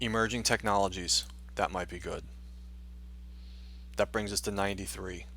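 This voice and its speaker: In a very clean recording with a silent background, a man with a fairly low pitch speaks in a bright, sharp tone with vocal fry. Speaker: university instructor. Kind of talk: screen-recorded tutorial. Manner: fast; hesitant, many fillers.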